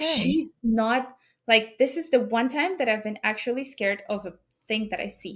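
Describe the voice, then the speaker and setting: A woman with an ordinary speaking voice, fairly high in pitch, speaks at a moderate pace with lively intonation and big swings in loudness. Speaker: podcast guest telling ghost stories. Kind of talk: casual podcast conversation.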